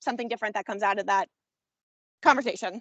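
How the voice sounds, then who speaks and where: A woman's fairly high voice is captured with a dry, close sound and no echo. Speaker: commission member organizing an event. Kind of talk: public meeting discussion. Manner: fast; hesitant, many fillers.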